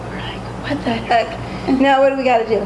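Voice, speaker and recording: Amid noticeable background noise and audible room echo, a woman talks in a high-pitched voice. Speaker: bakery owner. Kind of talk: interview.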